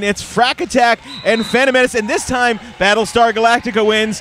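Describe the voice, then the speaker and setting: Over light background noise, a man speaks at a high pitch and moderate pace with ordinary pitch variation, in a dry sound with no echo. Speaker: roller derby commentator. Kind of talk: sports commentary, live play-by-play of roller derby. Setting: arena, live event with announcer booth. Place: stadium.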